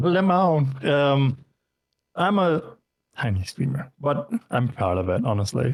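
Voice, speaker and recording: A man speaks at a very slow pace and a fairly high pitch, sounding somewhat breathy with long, frequent pauses. His pitch swings very widely while his loudness stays very even. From Denmark. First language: Danish. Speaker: variety streamer and VTuber. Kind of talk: casual interview. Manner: halting, many fillers.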